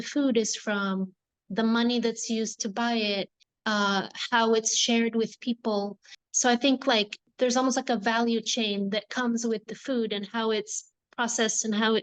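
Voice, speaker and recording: Delivered at a moderate pace in a flat monotone, the voice sounds dry and close with no echo over a quiet background. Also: woman. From Morocco, American parents. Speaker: non-profit founder. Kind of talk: interview.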